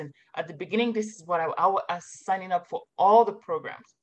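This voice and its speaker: This woman's voice sits at a middle pitch. It rises and falls in a normal way. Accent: French. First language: French. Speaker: marketing consultant, former professor. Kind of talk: interview podcast.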